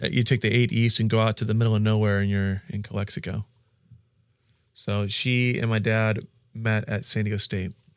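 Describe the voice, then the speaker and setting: At a fairly quick pace, a man talks in a fairly low, monotone voice with flat intonation. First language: Spanish. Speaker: pastor. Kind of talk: interview. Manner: halting.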